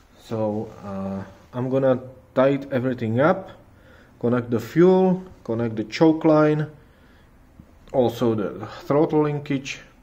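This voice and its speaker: The speech moves at a fairly slow pace with long, frequent pauses and lively intonation. Audible room echo surrounds it. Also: man, medium pitch for a man. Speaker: car hobbyist YouTuber. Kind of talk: tutorial. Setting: garage. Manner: halting.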